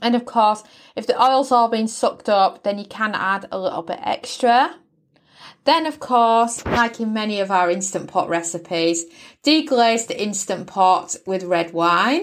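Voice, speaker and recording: Fairly slowly, a woman with a British accent talks in a fairly high voice with lively intonation. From Britain. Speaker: podcast host cooking. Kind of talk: recipe tutorial. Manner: friendly, instructional.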